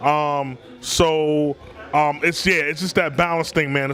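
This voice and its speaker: A speaker with an American accent talks at a moderate pace. Noticeable background noise runs underneath. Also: man. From Washington D.C. area. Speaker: hip hop artist. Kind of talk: casual interview.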